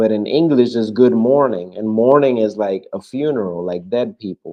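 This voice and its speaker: In a Spanish accent, a man talks at a moderate pace. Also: medium pitch for a man, ordinary pitch variation. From Cuba. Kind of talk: casual chat.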